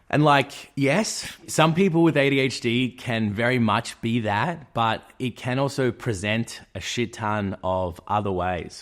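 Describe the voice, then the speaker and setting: In a very clean recording with a silent background, a man with an Australian accent speaks in a medium pitch with lively intonation. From Australia, Melbourne. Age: 30s. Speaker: YouTuber. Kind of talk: personal vlog monologue. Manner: animated.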